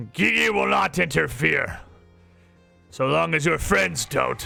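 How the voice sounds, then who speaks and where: A man puts on a raspy character voice at medium pitch and a fairly slow pace. Faint music plays in the background. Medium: actual play. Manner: blunt, taunting.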